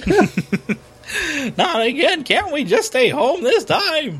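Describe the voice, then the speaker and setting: Putting on a character voice, a man speaks at a fairly slow pace in an extremely high pitch with a whiny tone. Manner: whiny, pleading.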